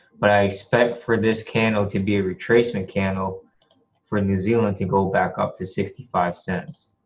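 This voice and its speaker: A man uses a normal speaking voice with fairly even intonation, a fairly low pitch and a moderate pace. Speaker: forex trader. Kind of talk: tutorial. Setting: screen share recording at home.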